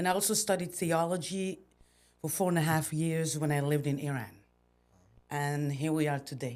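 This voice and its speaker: On a very clean recording with a silent background, a woman with a French accent and a very deep, low voice speaks at a moderate pace with ordinary pitch variation. She leaves long, frequent pauses. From Belgium. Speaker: entrepreneur. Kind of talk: podcast interview. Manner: halting.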